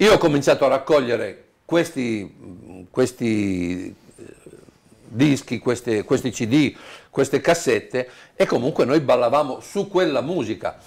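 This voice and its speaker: Against a quiet background, a man with a medium pitch talks at a very slow pace, his pitch swinging very widely. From Apulia, southern Italy; raised in Turin from age 7. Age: 60s. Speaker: tango DJ. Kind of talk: interview. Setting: at home. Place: home room. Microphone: lapel.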